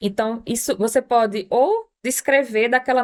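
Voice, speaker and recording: A woman speaks in a plain, everyday voice at a fairly high pitch with ordinary pitch variation. The recording is very clean, with a silent background. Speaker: palliative care physician. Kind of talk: medical podcast discussion.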